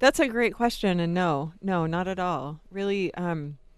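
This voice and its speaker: A woman with an American accent has an unremarkable speaking voice, fairly low in pitch. She talks at a fairly slow pace against a quiet background. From Jacksonville, Florida. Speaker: compassion center director. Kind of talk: radio interview.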